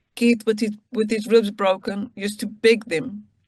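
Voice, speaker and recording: A woman speaks at a moderate pace in a fairly high voice that is somewhat breathy. Her intonation stays flat and monotone. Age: 60s. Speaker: freed hostage. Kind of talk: testimony.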